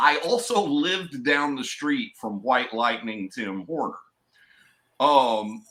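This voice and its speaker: In an East Tennessee accent, a man with a bright, sharp tone and fairly high pitch speaks at a very slow pace with very wide pitch swings. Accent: Southern (East Tennessee). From East Tennessee, US South. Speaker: hip hop artist, wrestling podcast co-host. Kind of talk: casual chat.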